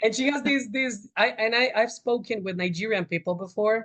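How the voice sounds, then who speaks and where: With a Spanish accent, a man talks at a moderate pace with ordinary pitch variation, in a dry, close sound with no echo. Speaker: Spanish teacher. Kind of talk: interview answer.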